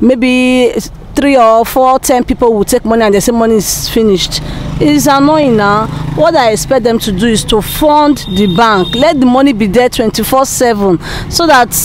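A woman's voice comes through light background noise in a dry sound with no echo. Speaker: interviewee. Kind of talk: interview answer. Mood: frustrated about the cash shortage. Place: street. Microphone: handheld.

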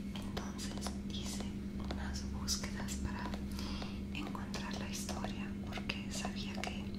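A woman at a very slow pace. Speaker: Spanish teacher or storyteller. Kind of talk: soft storytelling, ASMR-like tutorial. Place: kitchen. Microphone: lapel.

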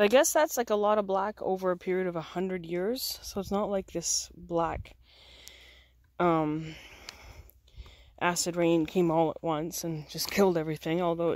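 A woman with a fairly low voice speaks at a moderate pace, leaving long, frequent pauses. The intonation stays fairly even, and the sound is dry with no echo. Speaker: camper vlogger. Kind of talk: casual vlog chat. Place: forest. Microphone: phone near.

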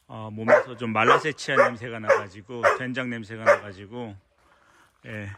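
At a moderate pace and medium pitch, a man talks in a monotone, flat way, with big swings in loudness. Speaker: dog trainer. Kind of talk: casual video vlog narration to camera. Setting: outdoors at a dog school.

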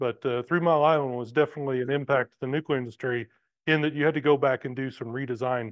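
The background stays quiet as a man rattles off his words at a very fast pace. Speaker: guest. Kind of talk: lecture. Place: hall.

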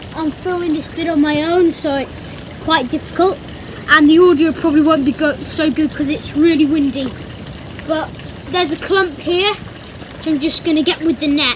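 Someone speaks at a moderate pace with noticeable background noise. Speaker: garden pond vlogger. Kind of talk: casual vlog chat. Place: garden. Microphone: phone near.

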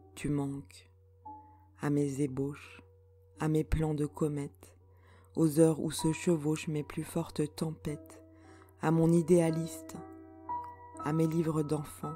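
A woman with a very deep, low pitch speaks at a very slow pace in a calm tone and monotone, flat intonation. Long, frequent pauses break up her speech while music plays in the background. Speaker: poet. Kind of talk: poetry reading.

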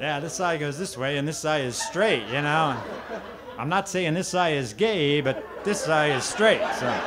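At a moderate pace, a man speaks with noticeable background noise around him. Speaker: stand-up comedian. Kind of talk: stand-up comedy routine. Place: stage.

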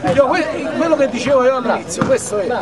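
Over clear crowd noise and clear background noise, a man speaks fast with lively intonation at an extremely high pitch.

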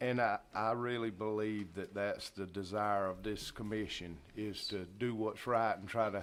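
A man's fairly low-pitched voice in a Southern US accent. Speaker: county commission chair. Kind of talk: public meeting remarks. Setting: county commission meeting room. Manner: slow.

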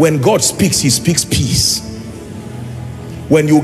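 Faint background music behind a man speaking at a moderate pace. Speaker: preacher. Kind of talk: sermon. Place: hall. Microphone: handheld.

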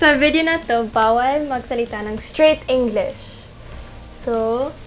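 There is music in the background. Over it, a woman talks. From half Filipino. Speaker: model. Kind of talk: casual Q&A talk to camera. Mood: playful, animated. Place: home room.

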